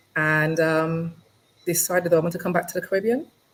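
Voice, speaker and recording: This woman has a fairly low pitch. She speaks with an English accent. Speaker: lawyer. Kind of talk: interview. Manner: halting.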